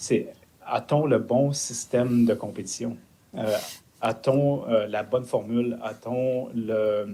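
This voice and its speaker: Speaking at a very slow pace, a man keeps a medium pitch and fairly even intonation. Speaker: sport performance consultant. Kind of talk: panel discussion.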